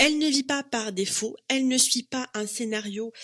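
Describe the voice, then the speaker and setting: At a moderate pace, the voice has a bright, sharp tone in dry, close sound with no echo. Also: woman. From Morocco. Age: 30s. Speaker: psychologist and coach podcast host. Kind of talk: solo podcast monologue. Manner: casual, many fillers (euh, en fait).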